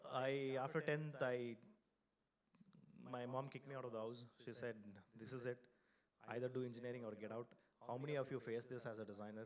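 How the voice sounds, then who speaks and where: This man speaks with a Kannada accent at a moderate pace. His voice has a medium pitch. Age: 40s. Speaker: designer and design studio founder. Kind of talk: conference talk. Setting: stage with audience. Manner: loud; animated.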